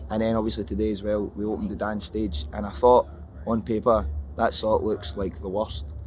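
Vocal fry runs through lively intonation delivered at a fairly quick pace. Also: man, fairly low pitch for a man. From Scotland. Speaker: rapper in a rock band. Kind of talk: casual interview chat. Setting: backstage at a music festival.

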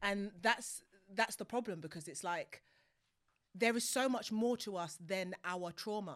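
A woman at medium pitch sounds animated, talking at a fairly slow pace in a very clean recording with a silent background. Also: ordinary pitch variation. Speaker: podcast host. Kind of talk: casual chat. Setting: studio.

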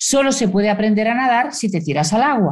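Her voice is somewhat breathy, and the woman speaks with lively intonation. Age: 60s. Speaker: communication consultant and author. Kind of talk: interview.

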